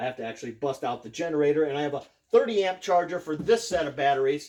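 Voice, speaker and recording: A man with an American accent talks at a fairly quick pace and a fairly high pitch. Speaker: off-grid solar hobbyist YouTuber. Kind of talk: casual tutorial. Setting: garage. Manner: hesitant, many fillers.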